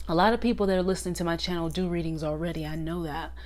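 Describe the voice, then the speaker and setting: Audible room echo surrounds a woman's voice. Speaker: tarot teacher and channel host. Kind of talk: casual tutorial monologue. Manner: talking up louder than usual.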